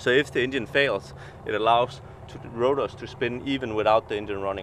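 A man's voice with fairly even intonation, dry and echo-free, over light background noise. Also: fairly quick pace. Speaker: helicopter flight instructor. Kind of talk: explaining walkaround tour. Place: street. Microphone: phone near.

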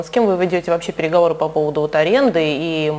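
The speaker is a woman. Her voice shows ordinary pitch variation. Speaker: sports journalist. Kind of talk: interview. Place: studio. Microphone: lapel.

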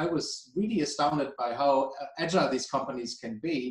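A man talks with a German accent at a fairly high pitch and ordinary pitch variation. There is audible room echo. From Germany. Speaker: energy policy director; guest. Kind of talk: expert interview. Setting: video call. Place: home room. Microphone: video call.

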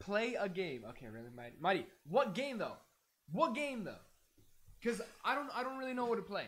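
Speaking at an extremely high pitch, a man uses lively intonation and big swings in loudness, leaving long, frequent pauses. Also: fairly quick pace. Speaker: streamer. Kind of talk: casual live stream chat. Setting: live stream. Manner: animated, chatty. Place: home room.

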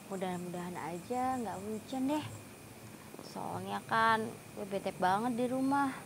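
Fairly slow speech from a woman, with ordinary pitch variation and noticeable background noise. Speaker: actress in short drama. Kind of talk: acted monologue. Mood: fed up, stressed. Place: garden.

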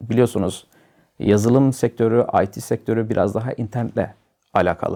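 Here is a man with a medium-pitched voice. His tone is dark and mellow, and his intonation fairly even. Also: quiet background. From Turkey, Samsun (Vezirköprü). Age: 30s. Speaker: IT specialist, former tourism teacher. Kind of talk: interview. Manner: hesitant with filler sounds.

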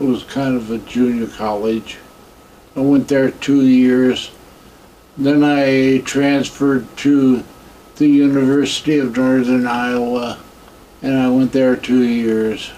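A man with an American accent, very slow and flat in a monotone, with long, frequent pauses over light background noise. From US Midwest. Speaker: war veteran. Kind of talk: oral history interview. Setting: veterans care home. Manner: halting. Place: home room.

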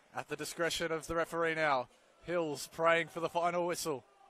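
A man with a high pitch speaks in an animated tone that sounds bright and sharp. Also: dry sound with no echo. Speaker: football commentator. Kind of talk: live match commentary. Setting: stadium match broadcast. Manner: fast, clipped play-by-play delivery; animated, rising in excitement at goals and penalties. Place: stadium.

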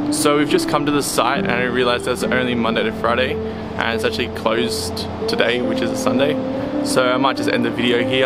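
A man talks fairly quickly. Behind him, music is playing. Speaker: travel vlogger. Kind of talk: casual vlog chat. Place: street. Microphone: phone near.

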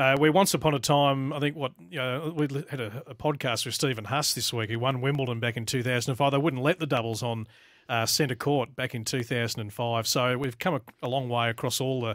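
A man with an Australian accent talks at a fairly quick pace with fairly even intonation, the sound dry with no echo and the background quiet. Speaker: tennis radio host. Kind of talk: casual sports chat. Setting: studio. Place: studio. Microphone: studio mic.

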